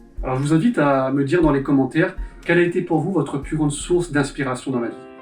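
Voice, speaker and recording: A man talks at a very fast pace in a fairly high pitch with ordinary pitch variation. Music plays in the background. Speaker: interviewer. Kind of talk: interview questions to camera.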